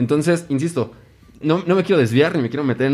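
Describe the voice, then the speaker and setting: This dark, mellow voice with a Mexican accent shows ordinary pitch variation. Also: man. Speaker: podcast host. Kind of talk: casual chat.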